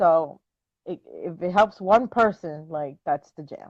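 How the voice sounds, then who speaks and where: With a Spanish accent, this speaker talks at a moderate pace and with lively intonation against a quiet background. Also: woman. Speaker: dog trainer. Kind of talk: casual chat. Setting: live stream video call.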